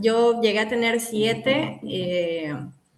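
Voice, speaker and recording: With lively intonation and a fairly high pitch, a woman speaks amid noticeable background noise and audible room echo. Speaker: psychologist. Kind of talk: casual interview chat.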